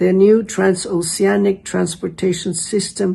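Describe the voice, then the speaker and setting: The tone is dark and mellow, somewhat breathy, with ordinary pitch variation. The pace is fairly slow. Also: woman. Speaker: social media commentator. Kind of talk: informative monologue.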